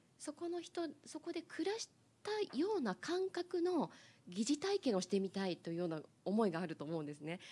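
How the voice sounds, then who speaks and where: In a dark, mellow, somewhat breathy tone, a woman talks at a fairly quick pace with very wide pitch swings. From Niigata, Japan. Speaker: panel member. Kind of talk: panel discussion. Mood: warm, smiling, cheerful. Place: meeting room. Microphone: handheld.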